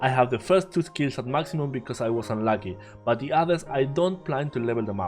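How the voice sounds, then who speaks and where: With music in the background, a man in a Spanish accent talks at a very fast pace and medium pitch with lively intonation. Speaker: game content creator. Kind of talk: game guide narration.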